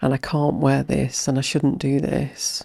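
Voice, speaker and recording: In a very clean recording with a silent background, a woman with an English accent speaks in a dark, mellow tone with ordinary pitch variation. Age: 60s. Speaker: mind-body practitioner and hypnotherapist. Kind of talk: podcast interview.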